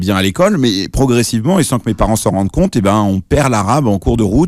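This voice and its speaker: A man with a fairly low pitch speaks at a very fast pace on a very clean recording with a silent background. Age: 40s. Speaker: journalist and author. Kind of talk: radio interview. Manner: hesitant, many fillers and restarts.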